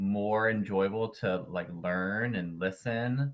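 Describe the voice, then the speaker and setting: A man with a Southern US accent. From North Carolina. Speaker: winterguard performer and educator. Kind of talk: casual interview. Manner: hesitant, many fillers.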